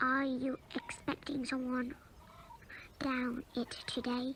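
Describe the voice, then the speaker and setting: Putting on a character voice, a woman speaks very slowly at a high pitch in a monotone, flat way, with clear background noise behind her. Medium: read story. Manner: fussy, anxious.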